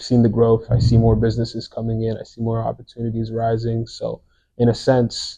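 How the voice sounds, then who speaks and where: At a fairly quick pace, a man with a medium pitch and a dark, mellow, somewhat breathy tone talks in a monotone, flat intonation with big swings in loudness. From France or French Canada. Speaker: podcast co-host. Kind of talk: casual podcast conversation.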